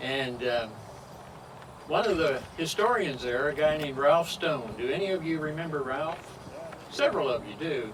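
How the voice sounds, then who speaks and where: A man's fairly high voice in an American accent at a moderate pace, with ordinary pitch variation, noticeable background noise and audible room echo. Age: 80s+. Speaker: historian. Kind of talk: public speech. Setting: outdoors at a cemetery commemoration.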